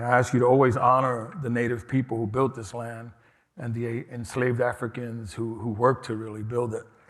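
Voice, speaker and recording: Talking at a moderate pace and medium pitch, a man speaks with a New York accent. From New York City, Lower East Side. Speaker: harm reduction nonprofit director, keynote speaker. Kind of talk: keynote speech. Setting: conference stage with audience.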